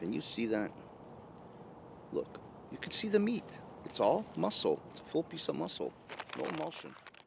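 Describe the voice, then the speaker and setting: Noticeable background noise accompanies a man talking at a moderate pace with long, frequent pauses. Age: 60s. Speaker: bushcraft YouTuber, retired food industry worker. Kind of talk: product review. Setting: filmed on camera. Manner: casual, with many fillers.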